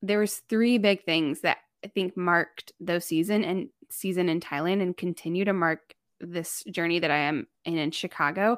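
A woman with an American accent speaks at a moderate pace. Her pitch varies in an ordinary way, and the recording is very clean with a silent background. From US Midwest, northern Indiana. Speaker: missionary and writer. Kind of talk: interview, faith testimony. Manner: casual with many fillers.

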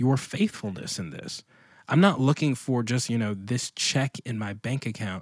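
A man with an American accent and a normal speaking voice, medium in pitch, on a very clean recording with a silent background and a dry, close sound with no echo. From Washington, D.C. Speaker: pastor and author. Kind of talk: casual interview conversation.

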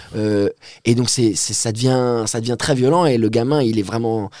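With an unremarkable speaking voice, a man talks at a fairly quick pace in a medium pitch with fairly even intonation. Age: 20s. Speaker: poet. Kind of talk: casual chat.

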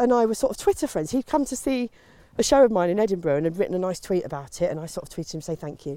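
Her voice sits at a medium pitch, with a dark, mellow tone and a southern English accent. The woman speaks at a very fast pace. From Kent, England. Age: 40s. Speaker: comedian. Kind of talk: casual chat. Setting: outdoors.

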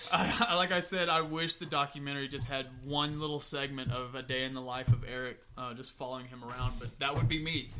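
The talk is fairly quick with hardly any pauses. Loudness swings widely, and there is noticeable background noise. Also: man. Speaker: podcast guest, TV fan. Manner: halting, many fillers.

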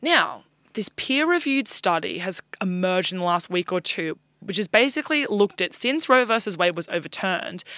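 With an Australian accent, a woman of medium pitch talks at a fairly quick pace with lively intonation and a bright, sharp tone. The recording is very clean with a silent background, and the sound is dry and close with no echo. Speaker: news podcast co-host. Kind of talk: casual news discussion.

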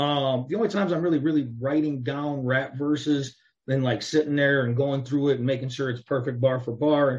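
Speaking at a fairly quick pace in an American accent, a man with a fairly high pitch sounds somewhat breathy, his intonation fairly even. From Chicago area, US Midwest. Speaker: rapper. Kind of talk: casual interview.

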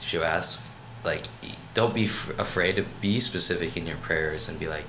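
With an American accent and ordinary pitch variation, a man speaks amid noticeable background noise and audible room echo. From Maryland, US. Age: 20s. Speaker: college student. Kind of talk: casual chat.

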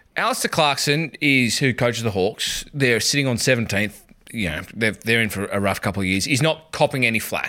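In a very clean recording with a silent background, a man with an Australian accent talks at a fairly quick pace in a bright, sharp tone, at a medium pitch with ordinary pitch variation. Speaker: podcast host. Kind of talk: casual banter, sports podcast.

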